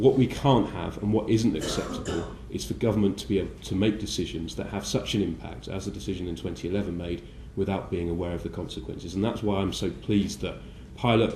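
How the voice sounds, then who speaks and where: A man talks at a very fast pace in a very deep, low voice, with audible echo from the room. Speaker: politician. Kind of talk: conference speech. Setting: breakfast briefing event. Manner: halting with many fillers.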